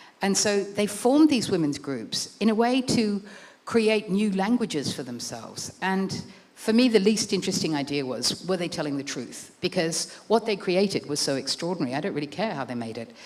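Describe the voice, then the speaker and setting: A woman's medium-pitched voice with very wide pitch swings at a moderate pace, amid noticeable background noise. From Australia. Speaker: author and art writer. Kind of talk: book talk with slides.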